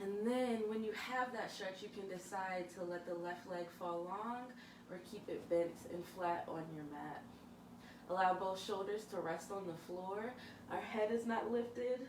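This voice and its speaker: Her pace is fairly slow, and this woman's pitch is medium with ordinary variation. Noticeable background noise and audible room echo are present. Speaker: yoga instructor. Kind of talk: guided yoga class. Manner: calm, instructive.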